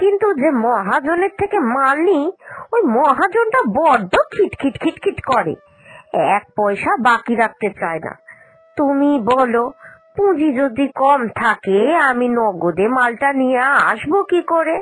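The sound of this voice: A woman uses a cartoonish character voice, pitched high, with big swings in pitch. She talks at a fairly slow pace.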